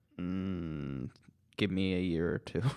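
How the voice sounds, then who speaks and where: A man speaks with a Michigan accent. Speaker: podcast co-host. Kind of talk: casual chat.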